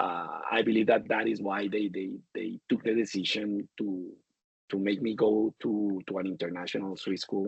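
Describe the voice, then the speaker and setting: This man's voice sits fairly low. He speaks at a moderate pace with monotone, flat intonation. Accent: Spanish. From Colombia. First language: Spanish. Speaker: supply chain executive. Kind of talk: interview. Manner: halting, many repetitions.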